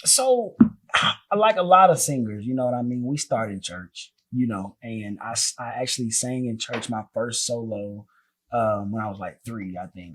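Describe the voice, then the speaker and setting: With an American accent, a man talks at a moderate pace in an ordinary speaking voice of medium pitch. His pitch varies in an ordinary way, while his loudness swings widely. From US South, North Carolina. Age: 20s. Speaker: singer and entertainer. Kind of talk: casual interview.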